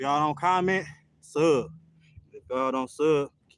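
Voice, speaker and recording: A man talks at a moderate pace. His pitch rises and falls in an ordinary way. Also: dry, close sound with no echo. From United States. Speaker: fitness streamer. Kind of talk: live stream monologue. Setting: live stream workout. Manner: casual, slangy.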